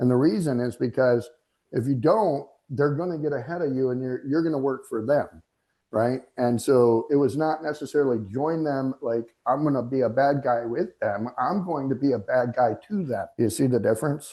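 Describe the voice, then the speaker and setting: A man talks at medium pitch and a moderate pace. His tone is dark and mellow, with ordinary pitch variation. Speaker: real estate mastermind host. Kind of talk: casual livestream chat. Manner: loud; animated.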